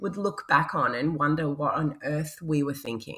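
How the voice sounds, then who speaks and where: A woman speaks at a fairly low pitch and a moderate pace. The recording is very clean, with a silent background. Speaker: podcast host. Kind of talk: interview, casual chat.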